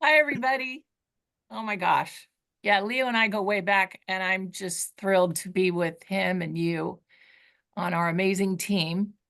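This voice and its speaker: A woman speaks at a fairly slow pace. Her pitch is medium, with ordinary variation. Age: 60s. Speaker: personal development trainer. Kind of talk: training session. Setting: video call.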